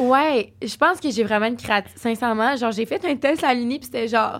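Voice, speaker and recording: A woman with a high pitch talks fairly quickly, her pitch varying in an ordinary way. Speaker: podcast guest. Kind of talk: casual chat.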